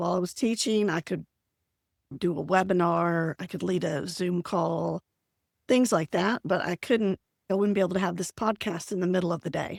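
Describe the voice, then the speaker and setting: Vocal fry and ordinary pitch variation come through at a moderate pace in a very clean recording with a silent background and a dry, close sound with no echo. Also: woman, fairly low pitch for a woman. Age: 60s. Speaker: productivity coach, retired teacher. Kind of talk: podcast interview.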